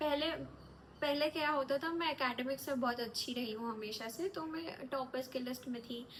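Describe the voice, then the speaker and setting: Lively intonation marks a woman's high-pitched voice, heard over noticeable background noise. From north India, Delhi and Nagpur. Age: 20s. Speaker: actor. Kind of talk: self-introduction monologue. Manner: casual, conversational.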